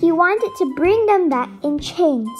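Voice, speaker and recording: A woman talks at a fairly slow pace. Music plays in the background. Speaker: story narrator. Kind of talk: children's Bible story narration.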